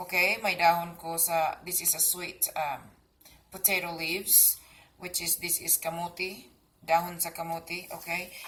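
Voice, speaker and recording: With a Cebuano accent, a woman speaks at a moderate pace in a fairly low pitch and monotone, flat intonation, with noticeable background noise behind her. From Philippines, Cebu. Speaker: gardening and cooking vlogger. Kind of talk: casual tutorial. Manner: hesitant, many fillers.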